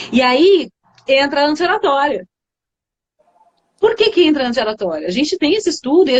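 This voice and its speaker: A woman's voice leaps through very wide pitch swings. The sound is dry and close, with no echo. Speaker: communication coach. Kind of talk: live stream conversation. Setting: online live stream.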